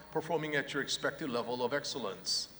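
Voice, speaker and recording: Talking at a very fast pace, a man shows ordinary pitch variation. Noticeable background noise is present. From South Korea, then California from age 15. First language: Korean. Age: 50s. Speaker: professor. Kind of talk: commencement speech. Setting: arena stage with audience.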